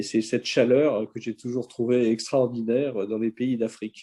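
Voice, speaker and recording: A man's dark, mellow tone in monotone, flat intonation, with a dry, close sound and no echo. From Algeria, near Algiers, then France from age 11. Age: 70s. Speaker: social media speaker. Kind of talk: interview. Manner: hesitant, many filler sounds.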